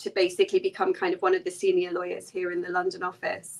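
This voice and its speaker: An English accent marks this woman's speech. Her tone is bright and sharp, her intonation monotone and flat. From English Midlands. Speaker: lawyer. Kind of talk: interview. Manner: casual, many fillers.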